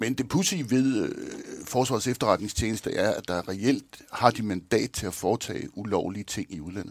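A man's fairly low voice at a moderate pace, an ordinary speaking voice with ordinary pitch variation. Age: 50s. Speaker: thriller author. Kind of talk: interview.

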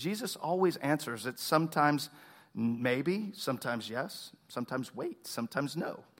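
A man with a Texan accent, fairly high-pitched, with lively intonation, on a very clean recording with a silent background. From Texas, Tomball near Houston. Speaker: pastor. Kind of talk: sermon.

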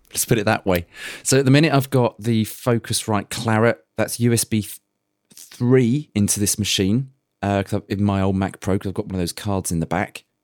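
A man with a plain, everyday voice speaks at a moderate pace and fairly low pitch, with ordinary pitch variation. The recording is very clean with a silent background and a dry, close sound with no echo. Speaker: podcast host, audio engineer. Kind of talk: casual chat.

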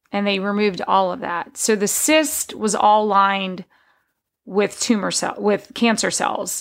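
A woman has a plain, everyday voice with a medium pitch and ordinary pitch variation. The recording is very clean, with a silent background. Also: fairly slow pace. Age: 40s. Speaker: podcast host sharing cancer journey. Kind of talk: personal testimony monologue. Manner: conversational with fillers.

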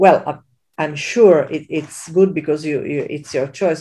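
A woman with an Italian accent speaks at a very deep, low pitch. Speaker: physician and podcast host. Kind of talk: interview conversation. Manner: halting with many fillers.

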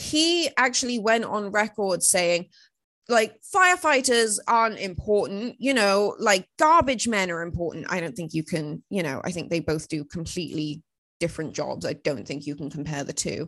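A woman with a Welsh accent speaks at a moderate pace and a medium pitch, her voice making very wide pitch swings against a quiet background. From Wales. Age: 20s. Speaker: political commentator and podcast host. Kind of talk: solo podcast monologue. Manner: casual, filler-heavy.

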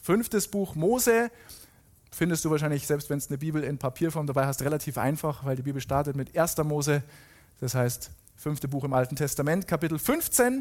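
A man talks in a normal speaking voice with fairly high pitch and ordinary pitch variation. The recording is very clean, with a silent background. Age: 30s. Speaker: pastor. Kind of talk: sermon. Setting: church.

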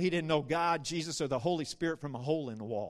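With an American accent, a man talks at a fairly quick pace in an unremarkable speaking voice, fairly high in pitch with ordinary pitch variation, against a quiet background. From US Midwest, north central Nebraska. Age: 50s. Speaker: rural ministry leader. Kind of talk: sermon.

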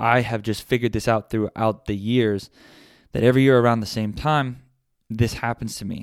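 On a very clean recording with a silent background, a man with an unremarkable speaking voice talks fairly quickly at a medium pitch with fairly even intonation. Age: 30s. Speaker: podcast host. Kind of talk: solo podcast monologue.

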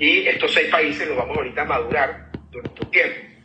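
Over noticeable background noise, a man speaks with a Caracas accent. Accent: Venezuelan Spanish (Caracas). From Venezuela. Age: 40s. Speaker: startup CEO and physician. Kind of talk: interview.

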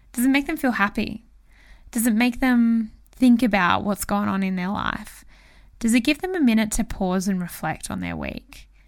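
An animated woman speaks at a moderate pace with an Australian accent and a fairly high pitch that varies in an ordinary way. The recording is very clean, with a silent background. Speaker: marketing podcast host. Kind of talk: solo podcast monologue.

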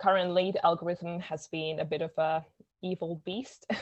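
A woman with a Latvian accent speaks at a fairly slow pace, her fairly low voice holding a fairly even intonation. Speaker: poet and filmmaker. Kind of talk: casual chat.

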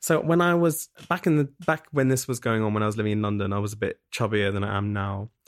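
A man with an English accent talks very fast at a fairly low pitch, his intonation lively. The recording is very clean, with a silent background. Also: hardly any pauses. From England. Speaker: musician. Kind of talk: casual chat.

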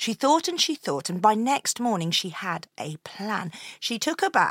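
What's heard here is plain reading aloud.

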